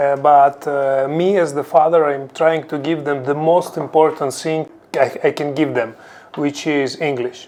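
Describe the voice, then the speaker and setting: His intonation stays fairly even throughout. The man has a fairly high pitch and a non-native accent. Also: fairly slow pace. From Ukraine. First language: Ukrainian or Russian. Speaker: crypto executive. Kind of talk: interview. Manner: hesitant, with fillers.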